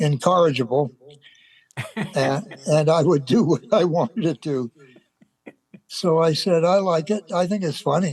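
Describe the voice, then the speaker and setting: A man speaks at a high pitch with ordinary pitch variation, at a fairly slow pace with long, frequent pauses. The sound is dry and close, with no echo. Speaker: actor. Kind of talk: interview answer. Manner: hesitant, halting.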